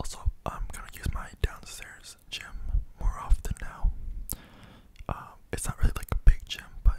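Whispering, a man keeps to a moderate pace. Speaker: content creator. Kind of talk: casual soft-spoken ASMR-style chat. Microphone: studio mic.

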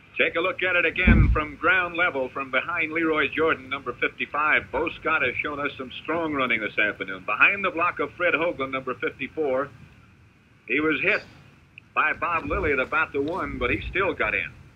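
At a moderate speed, a man's voice shows ordinary pitch variation. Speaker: TV color commentator. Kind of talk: commentary. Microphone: old recording.

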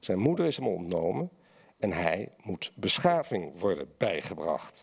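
The man's delivery is fairly slow, set against a quiet background. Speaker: essayist and journalist; journalist. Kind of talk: lecture reading and panel discussion. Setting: stage with audience. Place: hall. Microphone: podium.

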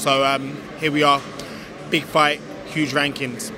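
Noticeable background noise surrounds a man talking at a moderate pace, his sound dry with no echo. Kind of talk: interview answer. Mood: calm, confident. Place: hall. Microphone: handheld.

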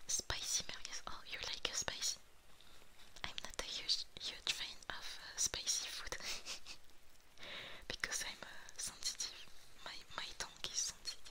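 Someone is whispering. The pace is fairly slow. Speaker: streamer. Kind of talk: casual stream chat with viewers. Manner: soft, intimate ASMR-style speaking.

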